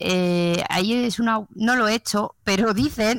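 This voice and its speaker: Her voice is fairly high for a woman and shows ordinary pitch variation, an unremarkable speaking voice. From Spain. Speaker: nurse. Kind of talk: casual chat.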